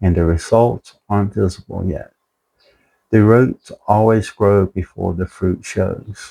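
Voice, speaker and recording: At a very slow pace, a man speaks in a dark, mellow, fairly low voice. The sound is dry and close with no echo, on a very clean recording with a silent background. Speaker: motivational video creator. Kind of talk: motivational talk. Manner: halting, speech affected by health problems.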